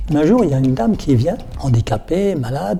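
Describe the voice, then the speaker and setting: Lively intonation and a fairly quick pace come through over music in the background. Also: man. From Alsace, France (Colmar). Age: 70s. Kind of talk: interview testimony. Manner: halting, repeats words.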